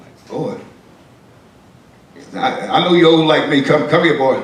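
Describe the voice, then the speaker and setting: Amid noticeable background noise and audible room echo, a man at a fairly high pitch speaks at a moderate pace with very wide pitch swings and big swings in loudness. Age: 60s. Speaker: pastor. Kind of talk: storytelling to a class. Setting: classroom.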